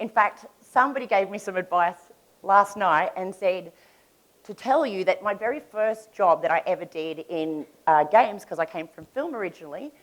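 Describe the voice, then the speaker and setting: With an Australian accent, a woman speaks at medium pitch and a moderate pace, her loudness swinging widely. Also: lively intonation. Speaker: conference speaker. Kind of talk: conference talk. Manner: conversational.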